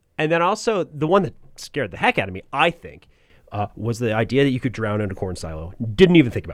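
A man speaks very fast in an American accent, at a medium pitch with very wide pitch swings. His loudness swings a lot, and there is vocal fry. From New Jersey (central Jersey). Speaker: radio production professor. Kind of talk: casual interview chat.

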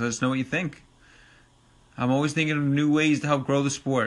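Speaking with a Long Island accent, a man has a fairly high pitch and a bright, sharp tone. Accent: New York (Long Island). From Long Island, New York. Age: 30s. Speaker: podcast host and ATV racing enthusiast. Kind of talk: casual solo podcast monologue. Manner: casual, filler-heavy, informal.

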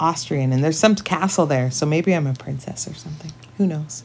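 A woman with a western Canadian accent speaks at a very deep, low pitch with lively intonation. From British Columbia, Canada. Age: 40s. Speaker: podcast co-host. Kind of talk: casual chat.

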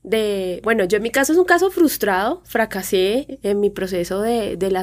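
A fairly high-pitched woman at a moderate pace, with an ordinary speaking voice. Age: 30s. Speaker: fashion blogger and influencer. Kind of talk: casual chat.

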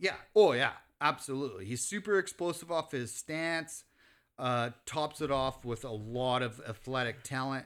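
Over a very clean recording with a silent background, a man speaks at a moderate pace and medium pitch in an unremarkable speaking voice. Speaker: sports podcast co-host. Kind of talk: casual banter about football. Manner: casual, profane, opinionated.

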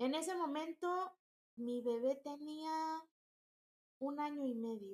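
A woman's high voice at a very slow pace, with ordinary pitch variation and long, frequent pauses. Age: 30s. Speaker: entrepreneur. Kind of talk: interview.

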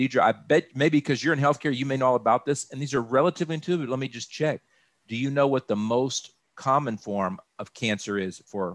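Using a plain, everyday voice, a man with a medium pitch talks at a fairly quick pace with lively intonation, in a dry, close sound with no echo and a very clean, silent background. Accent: American. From Texas, Austin. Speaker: insurance broker. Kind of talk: informational interview.

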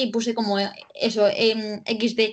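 A woman speaks with a fairly high pitch. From Cartagena, Murcia, Spain. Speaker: journalist. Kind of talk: casual chat.

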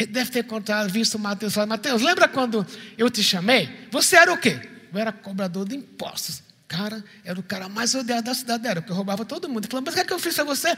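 Over noticeable background noise, a raised, projected voice rushes at a very fast pace with lively intonation. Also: man, high pitch for a man. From Recife, Brazil. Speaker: pastor. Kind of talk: sermon. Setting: church.

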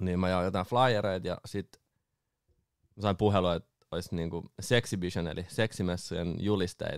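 A man's very deep, low voice carries fairly even intonation in a dry, close sound with no echo. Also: moderate pace, very clean recording, silent background. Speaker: booking agent and DJ. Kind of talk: casual chat. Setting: studio.

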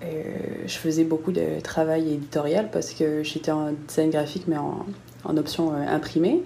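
In a room with audible echo, a woman talks at a fairly slow pace in a very deep, low voice. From southern France, Nice. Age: 20s. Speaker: freelance graphic designer. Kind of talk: casual interview. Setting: video call.

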